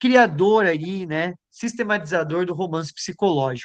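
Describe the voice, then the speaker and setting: A man with a high voice speaks at a very slow pace. His pitch varies in an ordinary way. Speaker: lecturer, philosopher and psychoanalyst. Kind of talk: lecture.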